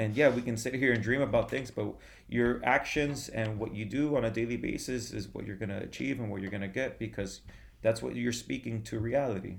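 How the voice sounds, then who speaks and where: With vocal fry and ordinary pitch variation, a man speaks fairly quickly at a medium pitch. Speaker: former bodybuilder, yoga practitioner and DJ. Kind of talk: casual interview chat. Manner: casual, many filler words.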